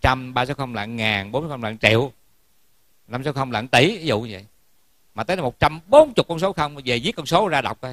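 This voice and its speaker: Fairly quick speech from a man at a medium pitch, with ordinary pitch variation, a quiet background and a dry sound with no echo. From Vietnam. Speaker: Buddhist monk giving a Dharma talk. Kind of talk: sermon. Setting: temple hall with audience. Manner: formal. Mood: warm, humorous. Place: hall. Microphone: handheld.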